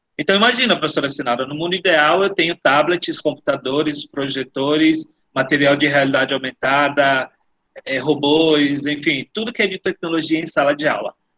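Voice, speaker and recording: A man with a normal speaking voice, fairly high in pitch, ordinary pitch variation, moderate pace. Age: 30s. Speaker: education official. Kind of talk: webinar Q&A.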